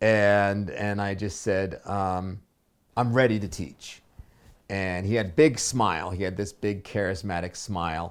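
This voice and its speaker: Someone speaks at a fairly slow pace with ordinary pitch variation. The recording is very clean, with a silent background. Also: man, fairly low pitch for a man. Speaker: spiritual teacher. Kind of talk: personal story told unedited. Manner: hesitant, many pauses and filler words.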